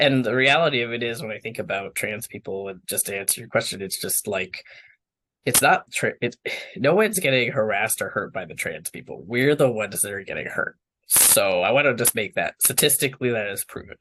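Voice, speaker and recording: A man with an ordinary speaking voice talks fairly quickly at a medium pitch over a quiet background. His intonation is lively and his loudness swings widely. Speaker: water professional, interview guest. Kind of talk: interview. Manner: casual, filler-heavy.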